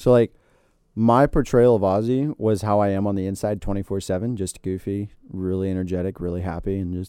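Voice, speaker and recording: A man with a fairly low pitch and a dark, mellow tone speaks at a moderate pace with fairly even intonation in a very clean recording with a silent background. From Florida. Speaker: university mascot performer, student. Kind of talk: casual interview. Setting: studio.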